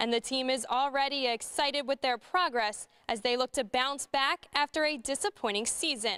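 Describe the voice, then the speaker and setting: In a dry, close recording with no echo, a woman speaks at a moderate pace in a raised, projected voice that is high-pitched with a bright, sharp tone. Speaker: sports reporter. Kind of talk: sports news reporter delivery.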